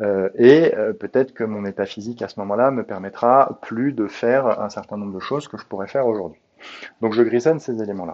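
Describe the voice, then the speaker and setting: At a fairly quick pace, a man talks at medium pitch with ordinary pitch variation and big swings in loudness. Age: 40s. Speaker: podcast host, coach. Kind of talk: solo monologue, self-help reflection. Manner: hesitant, many filler sounds.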